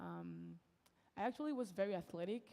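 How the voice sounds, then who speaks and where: Her pitch is medium, and she speaks at a moderate pace. This woman's tone is dark and mellow. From France. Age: 20s. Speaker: college basketball player. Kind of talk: talk to an audience.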